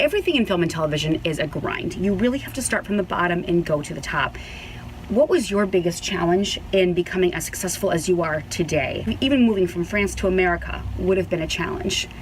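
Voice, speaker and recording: A woman at a medium pitch and a very fast pace, with noticeable background noise. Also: ordinary pitch variation. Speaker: show host. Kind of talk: interview.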